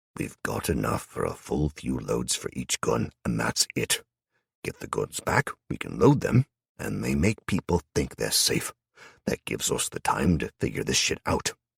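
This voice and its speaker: This is a gruff, put-on character voice delivered at a moderate pace. The sound is dry and close, without any echo. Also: man, very deep, low pitch for a man. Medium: read story. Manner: abrupt, gruff.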